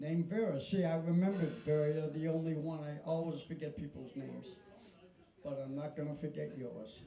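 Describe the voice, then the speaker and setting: The speech moves at a fairly quick pace with fairly even intonation. Noticeable background noise and audible room echo are present. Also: man, fairly high pitch for a man. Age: 80s+. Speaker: country band leader and show host. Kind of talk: casual stage banter at live show. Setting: live show with small audience.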